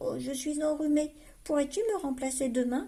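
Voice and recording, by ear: A hoarse, high-pitched, put-on character voice goes at a moderate pace.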